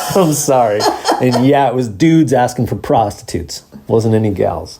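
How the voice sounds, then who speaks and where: Over noticeable background noise, a man speaks at medium pitch and a moderate pace. His tone is animated, with ordinary pitch variation. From Southern California, Huntington Beach area. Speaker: podcast host, bartender. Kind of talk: casual chat.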